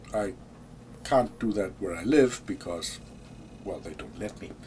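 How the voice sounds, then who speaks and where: Speaking with a German accent, a man sounds somewhat breathy with a dark, mellow tone, moving at a very slow pace with long, frequent pauses and big swings in loudness. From Germany. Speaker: vlogger. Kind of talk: casual monologue. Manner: hesitant, with fillers and repeats.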